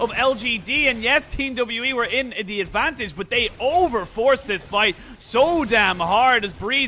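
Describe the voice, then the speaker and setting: An animated man uses a raised, projected voice at an extremely high pitch. His pitch variation is ordinary, and there is noticeable background noise. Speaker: esports commentator. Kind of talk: live esports commentary. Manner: animated, fast play-by-play delivery; excitable, with exclamations and laughter.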